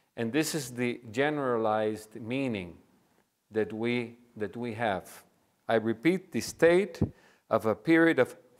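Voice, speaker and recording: Lively intonation marks this man's speech. He talks at a very slow pace in a medium pitch. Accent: Spanish. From Cuba. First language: Spanish. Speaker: pastor and seminary lecturer. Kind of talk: lecture.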